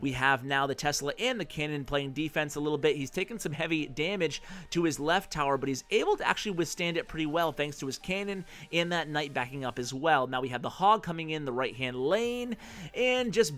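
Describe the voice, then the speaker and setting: This man's intonation is lively and his pitch fairly high. He talks at a fairly quick pace. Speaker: gaming commentator. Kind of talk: gameplay commentary. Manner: fast.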